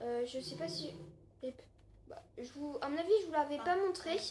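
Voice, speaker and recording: Her voice is high for a woman, and she speaks at a fairly slow pace with ordinary pitch variation. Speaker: gaming YouTuber. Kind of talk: gameplay commentary. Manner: hesitant, many fillers.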